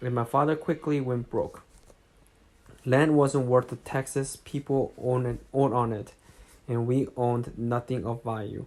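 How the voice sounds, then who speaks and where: Someone speaks at a moderate pace with a non-native accent. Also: man. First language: not English. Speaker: amateur audiobook reader. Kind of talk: reading aloud. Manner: halting, with self-corrections.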